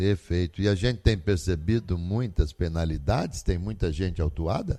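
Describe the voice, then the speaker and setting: Very deep and low in pitch, a man speaks at a moderate pace in a dark, mellow tone with ordinary pitch variation. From Brazil, São Paulo. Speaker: radio host. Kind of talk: radio interview.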